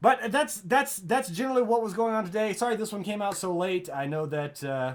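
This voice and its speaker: A man speaks at a fairly quick pace. The recording is very clean, with a silent background. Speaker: gaming YouTuber. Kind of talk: casual unscripted talk to viewers. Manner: fast.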